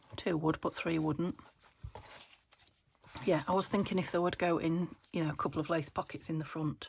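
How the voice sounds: A croaky, low-pitched woman's voice with vocal fry, a slightly husky edge, fairly even intonation and a moderate pace.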